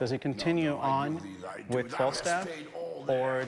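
Fairly even intonation is heard over noticeable background noise. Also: man. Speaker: stage actor. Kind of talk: interview. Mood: thoughtful, explanatory. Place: stage. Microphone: lapel.

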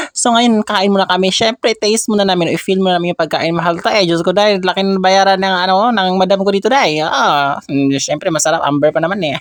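A man's high-pitched voice at a very fast pace with hardly any pauses and ordinary pitch variation, over noticeable background noise. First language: Cebuano (Bisaya) (speaking Tagalog). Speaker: vlogger. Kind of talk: travel vlog. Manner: animated, frequent laughter.

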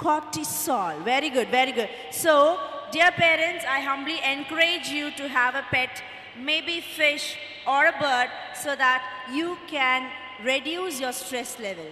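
A woman speaks at a fairly slow pace in a raised, projected voice with ordinary pitch variation, audible room echo and light background noise. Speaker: teacher or event host. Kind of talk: speech to an audience of parents. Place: stage. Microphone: handheld.

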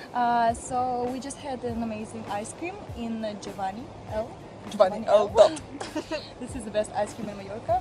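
Fairly quick speech in a dry, echo-free recording, with music playing in the background. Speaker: travel vlogger. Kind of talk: casual vlog chat. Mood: cheerful, laughing. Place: waterside. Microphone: phone near.

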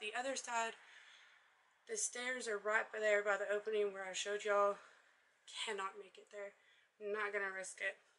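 A woman's monotone, flat intonation comes through over light background noise. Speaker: vlogger exploring a derelict house. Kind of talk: casual vlog chat. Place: empty room. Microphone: phone near.

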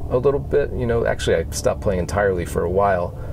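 A man speaks with an American accent. Light background noise is present. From US Northeast, Western Massachusetts. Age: 40s. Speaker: guitarist. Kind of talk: casual interview. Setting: outdoors on a mountain lookout.

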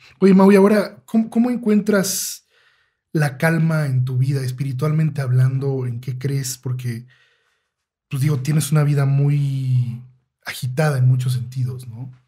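A somewhat breathy male voice, fairly high-pitched for a man, with a dark, mellow tone and a fairly slow pace. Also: ordinary pitch variation. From Mexico. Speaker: podcast host. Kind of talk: interview. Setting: studio.

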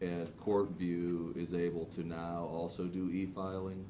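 Noticeable background noise surrounds a man's very deep, low voice. He speaks in a monotone, flat intonation. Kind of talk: meeting discussion. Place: hall.

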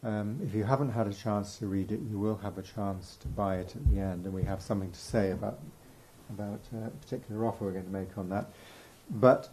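Soft-spoken and somewhat breathy, a man talks at a fairly quick pace. His fairly low voice has a dark, mellow tone. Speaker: event interviewer. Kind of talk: event introduction. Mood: warm, admiring. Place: hall. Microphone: studio mic.

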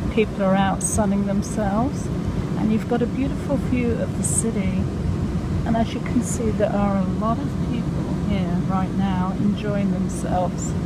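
Loud background noise surrounds a woman speaking at a moderate pace, the sound dry with no echo. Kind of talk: casual vlog narration. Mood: cheerful, relaxed. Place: train. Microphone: phone near.

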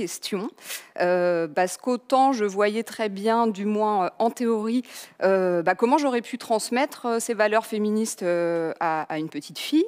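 Against a quiet background, a woman with a plain, everyday voice speaks at a fairly slow pace, her fairly high pitch showing ordinary pitch variation. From France. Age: 30s. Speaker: journalist and author; conference speaker. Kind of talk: lecture. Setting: online conference. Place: hall. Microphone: headset.

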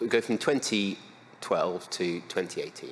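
Light background noise under a man's voice. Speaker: conference speaker. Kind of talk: lecture. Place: hall.

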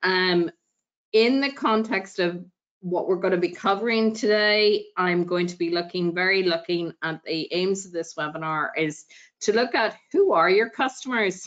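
In a quiet background, a woman with a Northern Irish accent speaks at a moderate pace, her medium pitch showing ordinary variation. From Northern Ireland. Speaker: equality advisor. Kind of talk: presentation. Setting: video call. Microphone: video call.

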